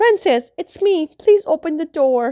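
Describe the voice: A woman puts on a raspy character voice at an extremely high pitch, speaking at a fairly slow pace.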